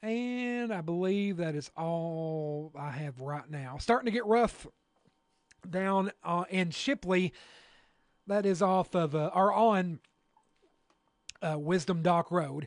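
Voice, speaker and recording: With a Kentucky accent, a man talks in a high pitch and lively intonation. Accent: southern US (Kentucky). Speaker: radio weather broadcaster. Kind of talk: live severe weather coverage. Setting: radio studio with livestream. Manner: halting, many fillers.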